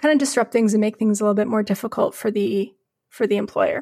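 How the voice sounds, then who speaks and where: A woman with a fairly high pitch and a western Canadian accent, fairly quick pace, very clean recording with a silent background, dry and close with no echo. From Calgary, Alberta, western Canada. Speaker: labor journalist and newsletter editor. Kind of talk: podcast interview.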